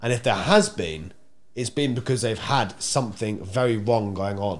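At a moderate pace, a man with an English accent speaks in an animated tone, with lively intonation, vocal fry and audible room echo. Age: 20s. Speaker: podcast host. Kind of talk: casual chat. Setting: office.

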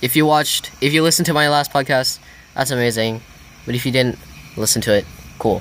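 Against noticeable background noise, a man speaks at a very fast pace broken by long, frequent pauses. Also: medium pitch for a man, ordinary pitch variation. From Hong Kong. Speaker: podcast host. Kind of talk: casual chat. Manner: halting.

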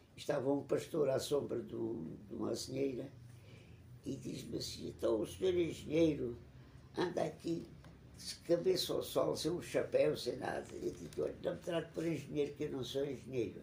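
A man keeps a moderate pace while his words echo audibly around the room. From Portugal, Alentejo (Évora). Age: 90s. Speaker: retired geology professor. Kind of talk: interview. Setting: at his home. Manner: halting, with repetitions.

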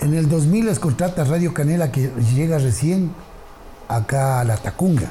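Noticeable background noise sits behind a man with a fairly high pitch. He speaks at a fairly slow pace with lively intonation. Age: 50s. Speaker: radio presenter. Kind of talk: casual chat.

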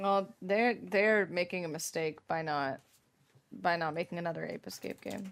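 Her pitch is fairly low and varies in an ordinary way. The woman speaks at a moderate pace. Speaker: podcast host. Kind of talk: casual chat, comedic role play. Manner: playful, animated.

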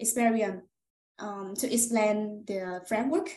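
A woman speaks with a fairly high pitch and a somewhat breathy tone. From central Vietnam, Hoi An. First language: Vietnamese. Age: 20s. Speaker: customer success manager. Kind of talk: interview answers. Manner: halting.

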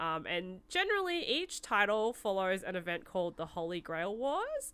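Someone with an Australian accent talks at a fairly slow pace in a bright, sharp tone. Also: woman. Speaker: podcast co-host. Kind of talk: casual chat.

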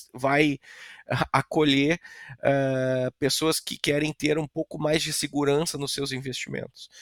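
A plain, everyday voice from a man, fairly high in pitch, fairly even in intonation and fairly slow, with a dry, close sound and no echo. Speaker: real estate company director. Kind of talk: casual interview chat.

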